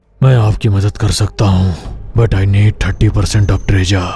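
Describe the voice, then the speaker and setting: In a put-on character voice, raspy and solemn in tone, someone speaks at a fairly quick pace with fairly even intonation and very even loudness. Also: man, fairly low pitch for a man. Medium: cartoon. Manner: solemn, commanding.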